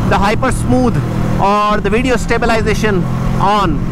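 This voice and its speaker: Over loud background noise, the voice moves at a moderate pace in a dry sound with no echo. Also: man. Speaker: motovlogger. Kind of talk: casual vlog chat. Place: motorbike. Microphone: helmet.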